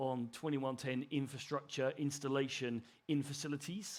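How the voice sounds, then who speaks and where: A man talks with an English accent. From England, Suffolk. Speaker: broadcast technologist. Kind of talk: conference presentation. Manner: halting.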